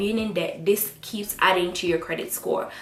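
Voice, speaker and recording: In an animated tone, a woman with a Jamaican accent speaks with ordinary pitch variation amid audible room echo. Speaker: student vlogger. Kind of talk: vlog advice talk.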